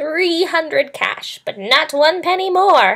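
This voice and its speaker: In a put-on character voice, a woman whines at an extremely high pitch and a fairly slow pace. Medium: read story. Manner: sneering, whining.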